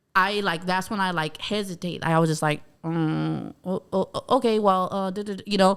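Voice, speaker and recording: Using an American accent, a woman talks at a medium pitch with fairly even intonation and hardly any pauses. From Bakersfield, California. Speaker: stand-up comedian. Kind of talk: casual chat. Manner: fast.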